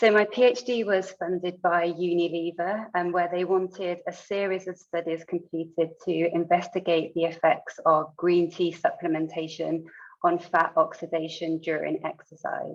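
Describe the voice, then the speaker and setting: A woman speaks at a moderate pace in a British accent. Her intonation is monotone and flat. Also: fairly low pitch for a woman, hardly any pauses. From United Kingdom. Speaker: sports scientist. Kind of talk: lecture.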